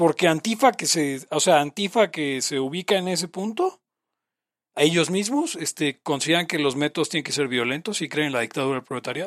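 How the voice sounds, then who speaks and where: A man with a Mexican accent talks at a fairly quick pace, his pitch fairly high and his intonation lively. The recording is very clean with a silent background and a dry, close sound with no echo. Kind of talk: casual chat.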